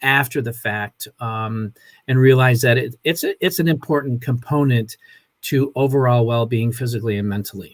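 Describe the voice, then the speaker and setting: A somewhat breathy man at medium pitch talks at a moderate pace with fairly even intonation, captured dry and close with no echo on a very clean recording with a silent background. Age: 60s. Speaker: wellness program promoter. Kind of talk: casual chat. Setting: Facebook live video. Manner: halting.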